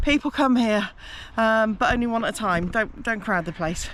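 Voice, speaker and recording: A woman speaks with an English accent at a moderate pace. Her fairly high voice carries lively intonation. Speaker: travel vlogger. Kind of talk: casual vlog narration.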